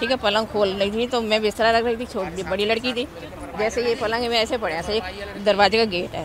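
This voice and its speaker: The speech moves at a moderate pace with fairly even intonation. Noticeable background noise runs underneath. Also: woman. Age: 60s. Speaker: mother of the accused. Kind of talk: street interview.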